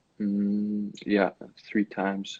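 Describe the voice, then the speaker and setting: Pitched fairly low, a man speaks with a German accent. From Germany (Bielefeld, west). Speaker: college basketball player. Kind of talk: interview.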